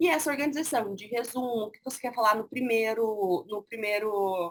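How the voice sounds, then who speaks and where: At a moderate pace, a woman talks in an unremarkable speaking voice. Her pitch is fairly high, with ordinary pitch variation. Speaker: university lecturer. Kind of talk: online lecture.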